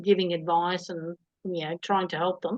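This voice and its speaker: With an Australian accent, a woman speaks at a moderate pace and a medium pitch. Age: 60s. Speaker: interviewee. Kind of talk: casual chat.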